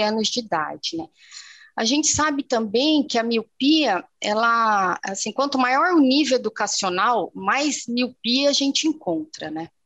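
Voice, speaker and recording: High-pitched and with lively intonation, a woman speaks at a fairly slow pace in a dry, close sound with no echo. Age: 40s. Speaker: ophthalmologist. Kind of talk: interview.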